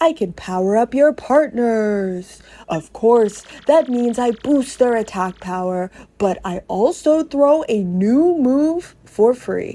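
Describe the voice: In a put-on character voice that sounds female, the speaker talks at a fairly high pitch and a fairly slow pace.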